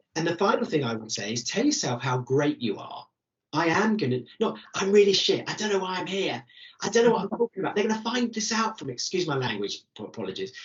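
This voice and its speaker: Speaking in an enthusiastic tone with a British accent, a man talks very fast at a high pitch, his voice making very wide pitch swings. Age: 60s. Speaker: careers coach. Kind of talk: webinar Q&A.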